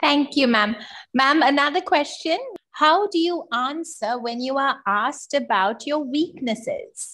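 The speaker is a woman with a high-pitched voice. She talks at a fairly slow pace. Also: lively intonation. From Sri Lanka. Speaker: webinar moderator; webinar host or moderator. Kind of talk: formal introduction; moderator thanks and questions. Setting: video call. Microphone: video call.

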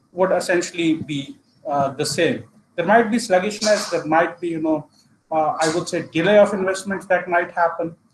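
Against noticeable background noise, a man with high pitch talks at a moderate pace with ordinary pitch variation. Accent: Indian. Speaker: analytics consultant. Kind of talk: presentation. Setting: video call. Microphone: video call.

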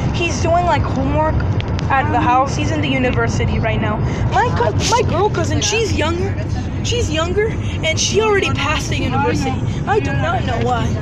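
Speech comes at a fairly quick pace over loud background noise. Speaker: vlogger. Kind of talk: casual vlog chat. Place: car. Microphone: phone near.

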